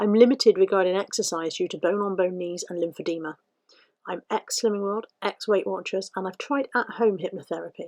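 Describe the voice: A woman's medium-pitched voice with a slightly mellow tone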